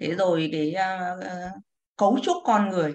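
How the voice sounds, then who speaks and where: At a very slow pace, a woman talks in a medium-pitched voice. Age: 60s. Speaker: retired civil servant, class participant. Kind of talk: reading aloud own poem; casual sharing.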